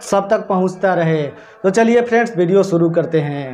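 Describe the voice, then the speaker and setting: The speaker is a man. Light background noise is present. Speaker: tech tutorial youtuber. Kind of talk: tutorial. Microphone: lapel.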